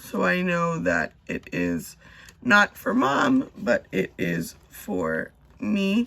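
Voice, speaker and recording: A woman is heard speaking with noticeable background noise. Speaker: budgeting youtuber. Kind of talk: casual tutorial vlog.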